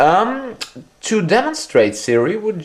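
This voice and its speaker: With a German accent, a man talks. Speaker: tech reviewer. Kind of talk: product demonstration. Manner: halting.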